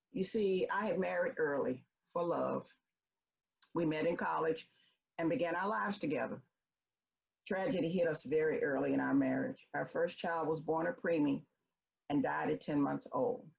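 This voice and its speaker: A woman with a Memphis accent talks at a moderate pace, her loudness very even. She leaves long, frequent pauses. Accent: Southern US (Memphis). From US South, Memphis, Tennessee. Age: 70s. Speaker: storyteller. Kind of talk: personal storytelling.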